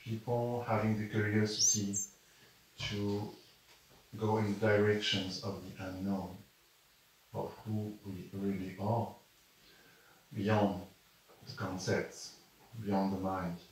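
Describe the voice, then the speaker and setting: A man with a French accent speaks at a very slow pace in a fairly low, monotone, flat voice, with long, frequent pauses, audible room echo and noticeable background noise. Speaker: spiritual teacher, channeler. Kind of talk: spiritual talk to live audience. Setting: room with live audience. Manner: halting.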